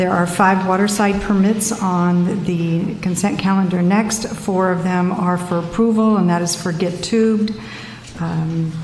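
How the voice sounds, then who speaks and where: Noticeable background noise and audible room echo surround a woman's voice. She speaks at a moderate pace with a medium pitch and monotone, flat intonation. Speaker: city official. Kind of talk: reading an agenda. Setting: city council meeting. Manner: brisk.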